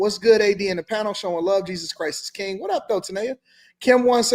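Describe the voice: Plain reading aloud with ordinary pitch variation fills the clip.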